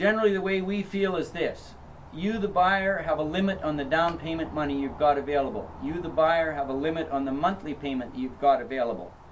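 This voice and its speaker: A man with a fairly high pitch and ordinary pitch variation, speaking at a fairly quick pace with hardly any pauses, amid audible room echo and noticeable background noise. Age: 60s. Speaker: property seller. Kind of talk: interview. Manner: hesitant, frequent uh fillers.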